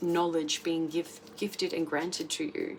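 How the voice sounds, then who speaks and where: A woman with a fairly low pitch talks while noticeable noise runs in the background. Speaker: tarot reader. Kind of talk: tarot reading monologue. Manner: casual, filler-heavy.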